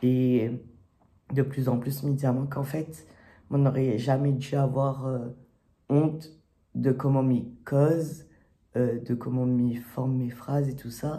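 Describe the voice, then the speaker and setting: A man with a medium-pitched, dark, mellow, somewhat breathy voice talks very slowly in a flat monotone, leaving long, frequent pauses, with audible room echo. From Réunion. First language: Réunion Creole (speaking French). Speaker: YouTuber. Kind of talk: casual vlog monologue. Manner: hesitant, many fillers.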